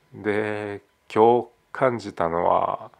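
A man speaks in a relaxed tone with fairly even intonation. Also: quiet background. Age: 30s. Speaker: podcaster. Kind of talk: casual solo monologue. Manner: relaxed, frequent fillers and laughs.

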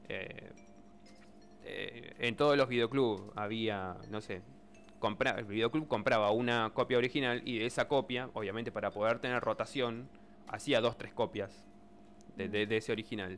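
With a Buenos Aires accent, a man talks at a moderate pace in a medium pitch, his intonation fairly even and his pauses long and frequent. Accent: Argentine Spanish (Buenos Aires area). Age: 30s. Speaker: radio co-host and technical operator. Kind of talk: casual radio chat.

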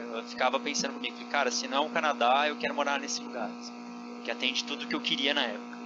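Amid noticeable background noise, a man speaks very fast. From Brazil, São José dos Campos (São Paulo state). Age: 30s. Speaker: engineer living abroad. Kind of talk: casual interview chat.

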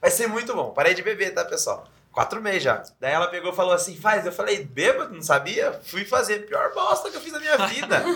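A man talks at a fairly quick pace with hardly any pauses. Noticeable background noise is present. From interior of São Paulo state, Brazil (Sorocaba). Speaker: podcast co-host. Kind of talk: casual chat.

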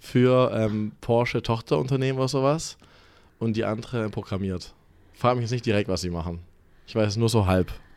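A man speaks at a fairly quick pace in a medium pitch with ordinary pitch variation, leaving long, frequent pauses. The recording is very clean, with a silent background. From Germany, Stuttgart. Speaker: gym employee. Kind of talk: casual chat.

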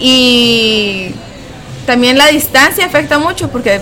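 Lively intonation, audible room echo and noticeable background noise. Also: woman. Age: 20s. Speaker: graduate student. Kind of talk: interview.

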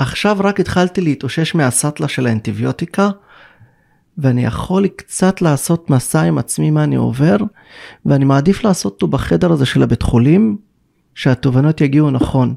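The tone is dark and mellow, with very wide pitch swings and very even loudness. Delivery is at a moderate pace, with a dry, close sound and no echo. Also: man. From Israel, Druze village in the north. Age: 40s. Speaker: spiritual mentor. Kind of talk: interview.

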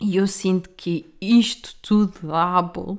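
A woman speaks with a European Portuguese accent. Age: 20s. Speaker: podcaster. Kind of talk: casual monologue. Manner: animated.

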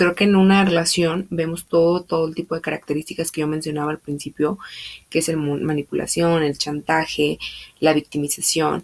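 Intonation stays monotone and flat as the words come at a moderate pace. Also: woman, very deep, low pitch for a woman. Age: 20s. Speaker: podcast host. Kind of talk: casual monologue.

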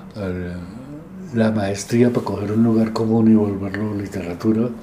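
In a room with audible echo and noticeable background noise, a man speaks fairly slowly at a fairly low pitch. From Colombia, Medellín (Antioquia). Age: 70s. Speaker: literature professor and critic. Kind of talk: interview, life story.

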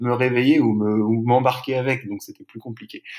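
A medium-pitched man speaks in a very clean recording with a silent background. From Brittany, France. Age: 30s. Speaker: eco-adventurer. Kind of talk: interview. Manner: hesitant, many fillers.

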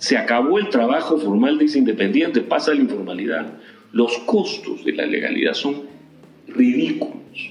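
A man talks at a moderate pace. Noticeable noise sits in the background. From Peru, Ica. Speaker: economist, dean of economics. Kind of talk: interview.

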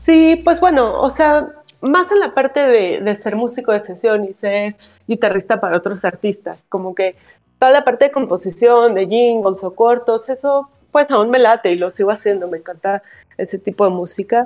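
With a Mexico City accent, a woman speaks at a moderate pace. Her fairly high voice has lively intonation. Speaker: rock guitarist and songwriter. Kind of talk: radio interview.

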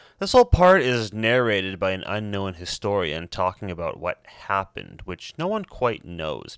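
The dry, close sound with no echo carries a man speaking at a moderate pace. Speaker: podcast host. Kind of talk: solo podcast monologue, casual. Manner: casual, chatty, informal.

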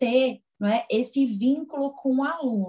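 A woman's dark, mellow voice carries lively intonation. She speaks at a fairly slow pace. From Pernambuco, northeastern Brazil (Garanhuns). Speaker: physiotherapist and lecturer. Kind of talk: interview.

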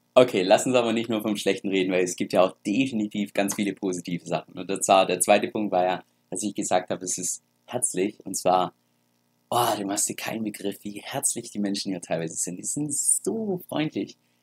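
A man speaks in a normal speaking voice at a moderate pace and fairly low pitch, with ordinary pitch variation and a dry, close sound with no echo. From Germany. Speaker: crypto YouTuber. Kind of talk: casual vlog talk.

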